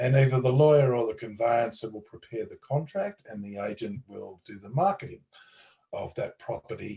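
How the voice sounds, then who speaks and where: A man talks with an Australian accent. He keeps a moderate pace. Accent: Australian twang. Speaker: lawyer. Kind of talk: interview explanation.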